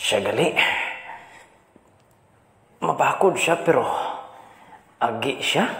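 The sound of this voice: A put-on character voice with vocal fry and a fairly bright tone moves slowly, its intonation lively. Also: man, medium pitch for a man.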